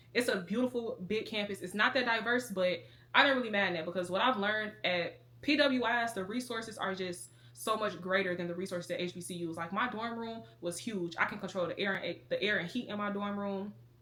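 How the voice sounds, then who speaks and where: Over noticeable background noise, a woman talks at a fairly quick pace, her medium pitch showing ordinary variation. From Chicago, south side. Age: 20s. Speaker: lifestyle vlogger. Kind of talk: casual chat. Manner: fast.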